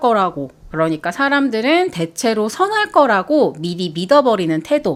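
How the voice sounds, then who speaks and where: A woman with a fairly high pitch speaks in a cheerful tone, her voice making very wide pitch swings. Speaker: art commentary video host. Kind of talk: reflective talk to camera. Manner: bright, cheerful.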